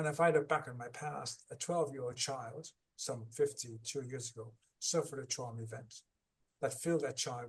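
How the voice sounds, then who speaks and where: A somewhat breathy male voice at medium pitch, with fairly even intonation. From Ireland. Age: 60s. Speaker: author and trauma recovery coach. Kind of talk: podcast interview.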